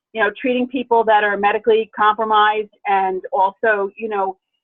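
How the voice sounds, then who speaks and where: A woman with a normal speaking voice, a fairly high pitch and an American accent, at a moderate pace. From New Jersey. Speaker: dental hygienist. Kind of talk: casual chat.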